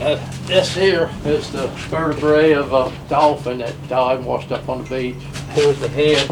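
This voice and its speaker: A man with an American accent, fairly high pitch and fairly even intonation, amid audible room echo and noticeable background noise. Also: moderate pace. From Maryland island (Chesapeake Bay). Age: 70s. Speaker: waterman. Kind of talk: casual chat.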